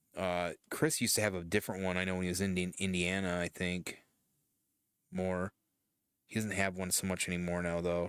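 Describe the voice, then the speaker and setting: A man with a Michigan accent, very deep and low in pitch, monotone and flat, at a fairly quick pace, on a very clean recording with a silent background. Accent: Michigan Midwestern American. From Michigan, US Midwest. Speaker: streamer. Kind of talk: casual chat. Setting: live stream. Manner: halting.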